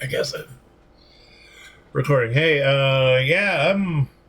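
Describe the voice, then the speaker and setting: Very slowly, a man talks while noticeable background noise carries on behind him. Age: 60s. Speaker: military veteran. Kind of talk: personal testimony monologue. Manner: halting, many fillers.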